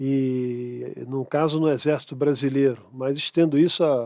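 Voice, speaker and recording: This man's pitch is fairly high and his intonation fairly even. The recording is very clean with a silent background, and the sound is dry and close with no echo. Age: 60s. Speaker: conservative activist and economist. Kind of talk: podcast interview. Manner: halting.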